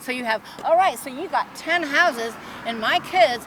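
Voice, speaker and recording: The intonation is lively, and noticeable background noise runs beneath it. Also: woman. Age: 70s. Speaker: protester. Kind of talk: heated debate. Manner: halting.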